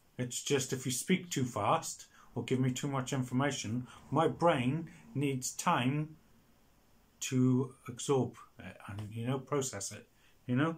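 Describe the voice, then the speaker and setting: In a Welsh accent, a man with a medium pitch speaks somewhat breathily at a fairly slow pace, with ordinary pitch variation and long, frequent pauses. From Wales. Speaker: video blogger. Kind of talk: casual monologue. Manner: halting.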